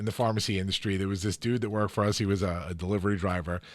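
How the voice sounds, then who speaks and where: A man's energetic tone at a fairly low pitch with an American accent, on a very clean recording with a silent background. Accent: strong local accent he can't control. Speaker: podcast host. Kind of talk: podcast interview. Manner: casual, energetic.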